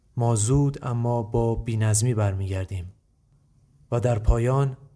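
Somewhat breathy, a man speaks in a dark, mellow tone with fairly even intonation. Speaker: podcast host. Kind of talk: scripted narration.

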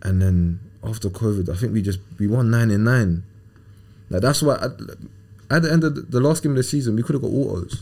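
A man with a southern English accent and a dark, mellow tone, very fast pace, lively intonation and long, frequent pauses. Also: medium pitch for a man. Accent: southern English, London-area. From England. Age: 20s. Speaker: professional footballer. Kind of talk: casual interview.

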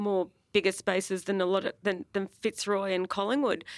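A woman at medium pitch with an Australian accent and a fairly quick pace, on a very clean recording with a silent background and a dry, close sound with no echo. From Melbourne, Australia, Greek family. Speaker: music promoter and booker. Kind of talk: live panel conversation. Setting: stage with audience.

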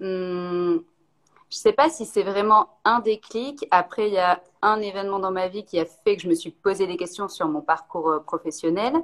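Using a plain, everyday voice, a woman speaks at a fairly slow pace and medium pitch with ordinary pitch variation. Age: 30s. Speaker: ceramicist. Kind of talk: casual interview. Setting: video call live stream.

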